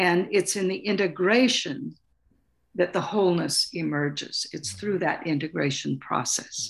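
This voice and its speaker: A woman with an American accent, fairly low in pitch, with vocal fry and lively intonation at a moderate pace over a quiet background. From US Pacific Northwest, Salish Sea island. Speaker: author and artist. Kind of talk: interview.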